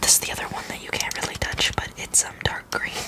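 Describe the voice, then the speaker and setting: Someone whispers over noticeable background noise. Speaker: anthropologist (role-play persona). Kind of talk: ASMR roleplay, educational personal-attention explanation. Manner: whispered, soft-spoken.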